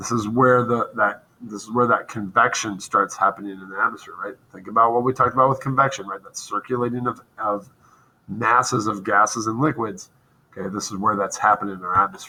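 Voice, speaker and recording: A man with a medium-pitched, bright, sharp tone speaks at a fairly quick pace, with fairly even intonation and big swings in loudness. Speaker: school science teacher. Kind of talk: recorded lesson. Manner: monotone.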